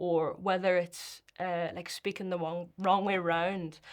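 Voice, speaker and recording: A woman speaks with a Northern Irish accent at a medium pitch. Her pace is moderate against a quiet background. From Northern Ireland. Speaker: poet and performer. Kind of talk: interview answer.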